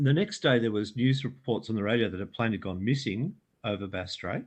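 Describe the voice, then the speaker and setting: Speaking at a moderate pace with an Australian accent, this voice shows ordinary pitch variation. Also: man. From Australia, Melbourne area. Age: 60s. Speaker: UFO researcher and author. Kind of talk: interview storytelling. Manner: halting, many fillers.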